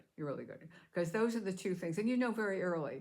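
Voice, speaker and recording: A woman with an American accent, heard with audible room echo. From US Northeast, New York City. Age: 80s+. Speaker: vlogger. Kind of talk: casual monologue to camera. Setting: home. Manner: halting.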